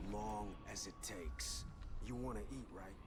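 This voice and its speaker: A put-on character voice goes at a moderate pace over loud background noise. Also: man. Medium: game stream. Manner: gruff.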